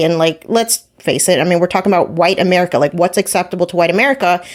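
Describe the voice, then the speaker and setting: A woman with a New Jersey accent speaks at a fairly low pitch. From New Jersey, US. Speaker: podcast guest, personal finance educator. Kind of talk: casual interview chat.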